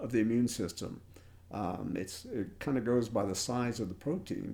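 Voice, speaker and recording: A man speaks at a fairly slow pace with a medium pitch. His tone is dark and mellow. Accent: American. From US South. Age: 60s. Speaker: enzyme company founder and scientist. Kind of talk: interview. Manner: halting, many repeated words.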